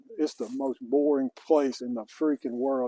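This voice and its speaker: A man's dark, mellow voice with fairly even intonation, dry and close with no echo. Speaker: ex-convict vlogger. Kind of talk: casual vlog monologue. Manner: casual, unscripted.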